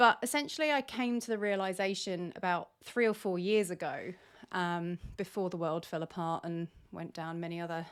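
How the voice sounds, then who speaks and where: A woman with a British accent talks at a moderate pace in a medium pitch, her pitch varying in an ordinary way. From Britain. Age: 40s. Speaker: podcast host. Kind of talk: casual solo podcast monologue. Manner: rambling, many fillers.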